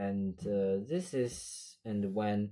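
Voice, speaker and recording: In a very clean recording with a silent background, a man with a non-native accent speaks in a fairly low, dark, mellow voice with ordinary pitch variation. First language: not English. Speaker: math tutor. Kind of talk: math lesson walkthrough. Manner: hesitant, many fillers.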